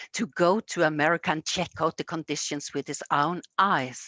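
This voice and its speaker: A woman speaks with a Norwegian accent at a very deep, low pitch. Her pace is fairly slow, and her pitch varies in an ordinary way. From Norway, Egersund near Stavanger. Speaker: storyteller. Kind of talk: storytelling. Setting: museum. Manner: halting.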